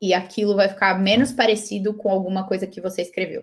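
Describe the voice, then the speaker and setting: An unremarkable speaking voice from a woman, mid-range in pitch and moderate in speed. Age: 20s. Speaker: author. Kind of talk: interview.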